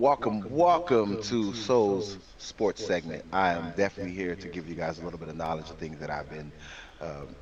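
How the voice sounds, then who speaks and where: A man talks with an American accent in a very deep, low voice with ordinary pitch variation. His loudness swings a lot. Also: moderate pace. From Chicago, US Midwest. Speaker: podcast co-host, sports segment presenter. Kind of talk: casual podcast chat with sports rundown. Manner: animated.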